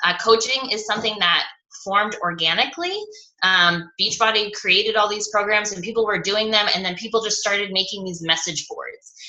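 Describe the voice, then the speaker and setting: A woman's fairly high voice with ordinary pitch variation at a fairly quick pace, over noticeable background noise. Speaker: fitness coach trainer. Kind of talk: online training presentation. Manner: fast.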